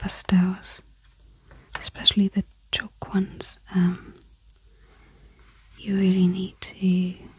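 A soft-spoken woman's medium-pitched, somewhat breathy voice, calm and monotone, at a very slow pace with long, frequent pauses. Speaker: craft and art YouTuber. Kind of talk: soft-spoken relaxed talk to camera. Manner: soft-spoken, calm, relaxing.

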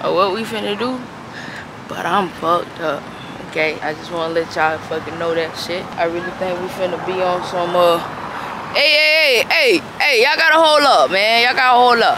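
A woman speaks at a moderate pace with very wide pitch swings, the sound dry with no echo but with noticeable background noise. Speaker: vlogger's friend filming. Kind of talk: casual vlog chat. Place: street. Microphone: phone near.

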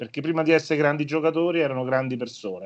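A man speaks at a very fast pace with a fairly high pitch. The background is quiet. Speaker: former sports press officer; guest. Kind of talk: casual chat. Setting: video call. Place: home room. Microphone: video call.

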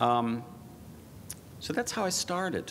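Light background noise is audible. A man speaks at a moderate pace with very wide pitch swings. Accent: American. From New York. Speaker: composer and sound art professor; sound art professor. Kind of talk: lecture. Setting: stage with audience. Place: hall. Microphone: podium.

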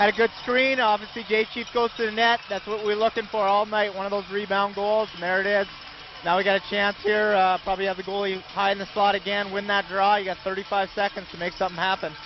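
The tone is enthusiastic and the pace fairly quick, with noticeable background noise behind the speaker. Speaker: color commentator. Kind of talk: live sports commentary, analyst talk. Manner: enthusiastic, conversational, excitable on big plays.

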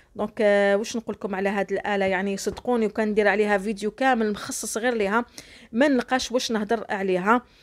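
An unremarkable speaking voice runs at a fairly quick pace with hardly any pauses and fairly even intonation, in a very clean recording with a silent background. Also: woman, fairly high pitch for a woman. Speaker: cooking YouTuber. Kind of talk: cooking tutorial. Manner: warm and chatty.

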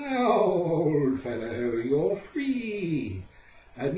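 A man puts on a character voice and speaks at a very slow pace, with a slight echo. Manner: brisk, scolding.

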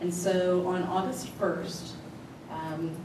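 A woman speaks in a monotone, flat intonation. The recording has noticeable background noise and audible room echo. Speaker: presenter. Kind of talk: formal report to a board. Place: meeting room.

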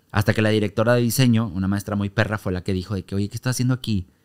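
Against a quiet background, a man talks at a very fast pace in a fairly low voice with fairly even intonation. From Monterrey, Mexico; Mexico. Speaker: comedian and stage actor; comedian, stage actor. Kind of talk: casual interview chat. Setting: studio. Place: studio. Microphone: studio mic.

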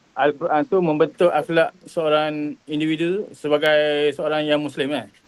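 Fairly high-pitched voice of a man. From Kelantan, Tanah Merah. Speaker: Islamic studies teacher. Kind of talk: interview. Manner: halting.

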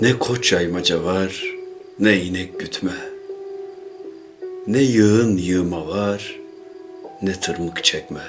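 Against music in the background, a man with a very deep, low pitch and ordinary pitch variation speaks at a very slow pace with long, frequent pauses. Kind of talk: poetry reading.

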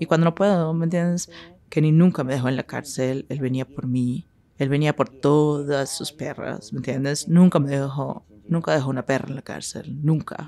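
A woman's very deep, low voice, dark and mellow in tone, at a moderate pace with fairly even intonation. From Northern California, Sacramento; California. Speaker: sex worker; interviewee. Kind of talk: interview. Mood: bold, frank, confident. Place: studio.

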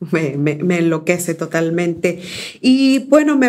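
A woman is speaking. Her pace is very slow. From Mexico, Córdoba, Veracruz. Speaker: poet and essayist. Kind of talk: poetry reading; interview. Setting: university studio. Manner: halting, frequent fillers.

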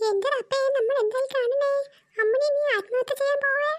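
In a cartoonish character voice, a woman speaks at an extremely high pitch and a moderate pace, with fairly even intonation and very even loudness. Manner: bossy, exclamatory.

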